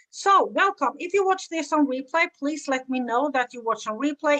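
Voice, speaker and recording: In a Swedish accent, a woman with a bright, sharp tone speaks at a moderate pace with lively intonation, in a dry, close sound with no echo. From Sweden. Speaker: business coach. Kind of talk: live stream talk. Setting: live video stream.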